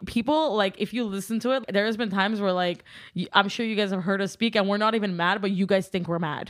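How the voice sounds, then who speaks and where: At a very fast pace, a woman with a Californian accent speaks at a medium pitch with ordinary pitch variation on a very clean recording with a silent background. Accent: Californian American English. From Southern California. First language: Armenian. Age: 20s. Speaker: social media content creator. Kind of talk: casual chat. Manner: talkative; energetic.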